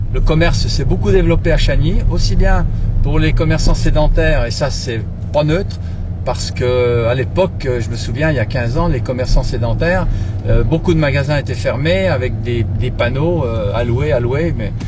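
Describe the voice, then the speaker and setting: Noticeable background noise and audible room echo surround a man's voice. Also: moderate pace. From France, Burgundy. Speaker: local politician, mayoral candidate. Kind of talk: campaign talk. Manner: halting, many hesitations.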